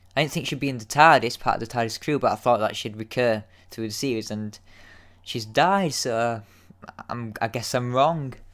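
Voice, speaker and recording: A man speaks in a Yorkshire accent with ordinary pitch variation. The recording is very clean, the background silent. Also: medium pitch for a man, moderate pace. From Yorkshire, northern England. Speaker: YouTube TV episode reviewer. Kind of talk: casual solo review. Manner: hesitant, many fillers and repeats.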